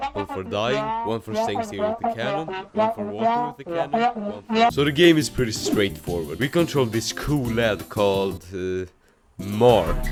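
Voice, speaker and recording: Over background music, a man talks at a moderate pace with very wide pitch swings. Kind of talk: comedic game dev tutorial narration. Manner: sarcastic, jokey.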